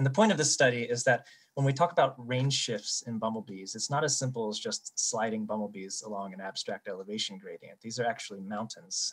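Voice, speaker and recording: Here is a man with a plain, everyday voice and an American accent. He speaks at medium pitch and a fairly quick pace, with ordinary pitch variation. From eastern United States. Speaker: bumblebee researcher. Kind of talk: conference poster presentation.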